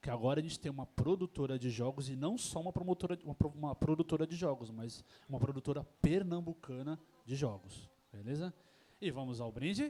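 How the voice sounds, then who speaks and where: A man talks at a fairly quick pace with ordinary pitch variation. His voice is fairly high, with a dark, mellow tone. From São Paulo, Brazil. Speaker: event host, interviewer. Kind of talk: live panel interview. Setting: tavern event with audience. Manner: hesitant, many fillers.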